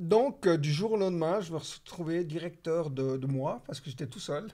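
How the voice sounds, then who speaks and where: A dark, mellow tone at a moderate pace, with big swings in loudness and ordinary pitch variation. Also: man, high pitch for a man. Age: 60s. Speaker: real estate entrepreneur. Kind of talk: casual interview.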